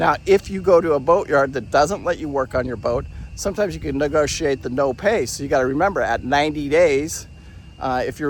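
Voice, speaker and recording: Fairly high for a man, this voice carries vocal fry and ordinary pitch variation. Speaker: boating vlogger. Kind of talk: casual walkthrough vlog. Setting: outdoors in a boatyard. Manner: fast; halting, many fillers.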